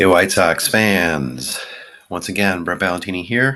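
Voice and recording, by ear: A hoarse, put-on character voice from a man, very deep and low, with ordinary pitch variation at a moderate pace.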